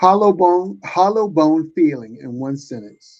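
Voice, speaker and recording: Very slowly, a man speaks at a fairly high pitch with very wide pitch swings. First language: not English. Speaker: podcast host. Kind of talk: podcast interview; scripted outro.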